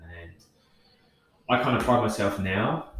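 The voice carries a southern English accent. Its pace is fairly slow. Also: man. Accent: English, southern England. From Kent, South East England. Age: 30s. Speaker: fitness coach. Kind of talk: casual interview.

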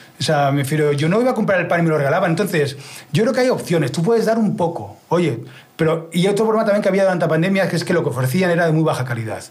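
A high-pitched man at a very fast pace, animated in tone, with lively intonation and audible room echo. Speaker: streaming expert and musician. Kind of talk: interview. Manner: halting.

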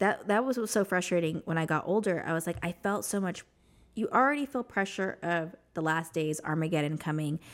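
A woman with an American accent speaks in a plain, everyday voice at a fairly low pitch. Her intonation is lively and her pace fairly quick, on a very clean recording with a silent background. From US Southwest (New Mexico). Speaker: ex-Jehovah's Witness sharing her story. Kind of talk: testimony.

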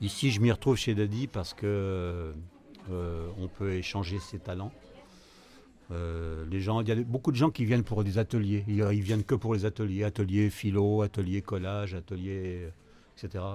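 This man talks at a fairly slow pace in a fairly low pitch, with a dark, mellow tone. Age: 70s. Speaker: retiree, café regular. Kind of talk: interview testimony. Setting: café. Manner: talkative.

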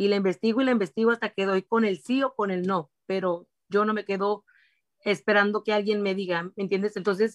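A woman speaks in a normal speaking voice at a medium pitch and a fairly quick pace, with fairly even intonation. The background is quiet, and the sound is dry and close with no echo. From Mexico, Durango. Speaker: food vendor and small business owner. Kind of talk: interview. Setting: live stream.

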